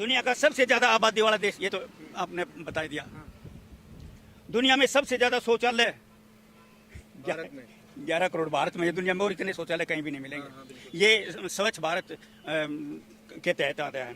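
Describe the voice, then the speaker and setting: With a bright, sharp tone, a man speaks in very wide pitch swings and big swings in loudness, leaving long, frequent pauses. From Haryana. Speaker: comic poet. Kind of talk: street interview answer.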